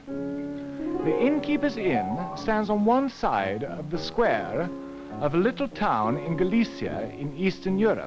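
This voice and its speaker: A man's voice with music in the background. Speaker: ballet dancer. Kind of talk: educational TV narration.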